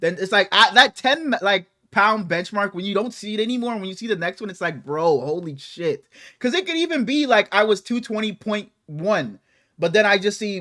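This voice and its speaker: In a very clean recording with a silent background, a man with a high pitch uses a raised, projected voice, lively intonation and a moderate pace. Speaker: sports podcast host. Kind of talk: casual chat. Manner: stuttering, halting.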